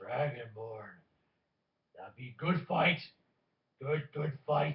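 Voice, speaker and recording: A man puts on a gruff character voice, fairly high in pitch, and speaks at a very slow pace. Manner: eager for a fight.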